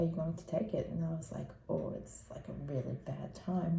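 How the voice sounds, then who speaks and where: A quiet woman's voice with audible room echo and noticeable background noise. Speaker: parenting vlogger. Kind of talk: casual vlog update. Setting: room at sleep school. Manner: speaking quietly.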